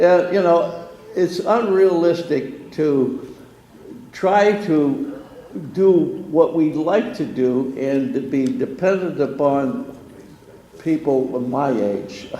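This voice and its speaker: Noticeable background noise and audible room echo surround a man whose fairly high pitch carries lively intonation at a very slow pace with long, frequent pauses. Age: 80s+. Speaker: retirement community resident. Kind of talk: meeting discussion. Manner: halting.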